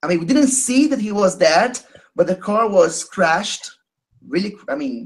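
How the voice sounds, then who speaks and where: Moderate pace in a Portuguese accent. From Brazil. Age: 30s. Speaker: caller sharing experience. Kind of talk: testimony. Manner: halting.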